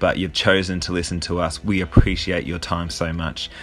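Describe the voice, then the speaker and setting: A man with a very deep, low pitch, a bright, sharp tone and an Australian accent. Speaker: podcast host. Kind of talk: interview.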